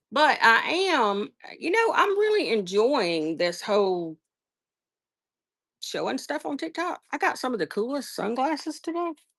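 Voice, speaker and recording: Speaking fairly slowly in a Southern US accent, a woman with a high pitch makes very wide pitch swings. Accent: Southern US, noticeable. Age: 50s. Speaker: online seller. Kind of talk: casual live-stream chat. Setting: live stream.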